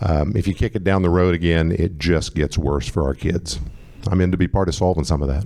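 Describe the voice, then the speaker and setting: With an American accent, a man speaks at a fairly quick pace in a very deep, low pitch, with ordinary pitch variation, very even loudness and noticeable background noise. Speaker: congressional candidate. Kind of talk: candidate Q&A at public forum. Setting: event with live audience, using a mic.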